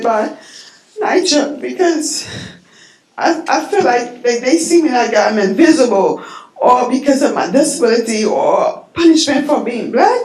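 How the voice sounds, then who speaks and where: A woman's high-pitched voice with very wide pitch swings and an American accent, plus audible room echo and noticeable background noise. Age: 50s. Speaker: public housing resident speaking at public comment. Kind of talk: public comment testimony. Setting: public board meeting. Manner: halting, hesitant.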